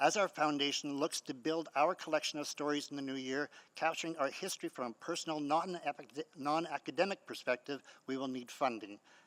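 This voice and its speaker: The speaker moves at a fairly quick pace with ordinary pitch variation. It is an ordinary speaking voice. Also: man, fairly high pitch for a man. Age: 60s. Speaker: community historian and nonprofit founder. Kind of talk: public hearing submission, prepared statement. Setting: city council chamber.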